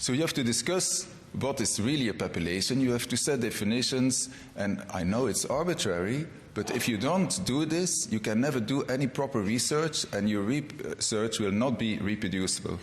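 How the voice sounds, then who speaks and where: A man with a non-native accent and a medium-pitched voice speaks at a moderate pace, with lively intonation and very even loudness. Audible room echo and noticeable background noise are present. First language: not English. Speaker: gynecologist, award lecturer. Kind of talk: award lecture. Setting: convention stage with audience. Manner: formal.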